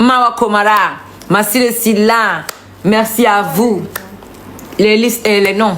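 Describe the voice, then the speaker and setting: At a very slow pace with long, frequent pauses, a woman with a fairly high pitch speaks at very even loudness and with fairly even intonation, amid audible room echo and noticeable background noise. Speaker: singer. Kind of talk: casual live video thanking supporters.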